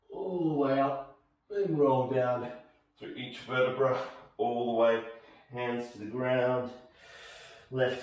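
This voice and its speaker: Strong room echo surrounds the voice. A man speaks at a fairly slow pace. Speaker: fitness instructor. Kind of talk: tutorial. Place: home room.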